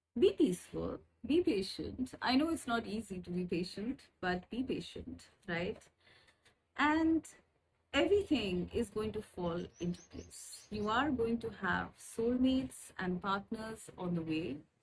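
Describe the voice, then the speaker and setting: A woman talks at a fairly slow pace with vocal fry and very wide pitch swings. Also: medium pitch for a woman. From India. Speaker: spiritual guide, tarot reader. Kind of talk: channel introduction with card reading. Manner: hesitant, many fillers.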